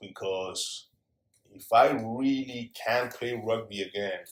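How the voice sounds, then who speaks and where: The voice belongs to a man. His speech carries a Spanish accent. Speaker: former pro rugby player, entrepreneur. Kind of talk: casual interview chat.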